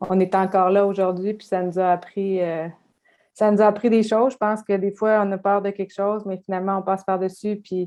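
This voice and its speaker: A dark, mellow tone with monotone, flat intonation at a moderate pace. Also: woman. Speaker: health clinic owner, entrepreneur. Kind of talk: panel discussion. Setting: online video event. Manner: hesitant, many fillers.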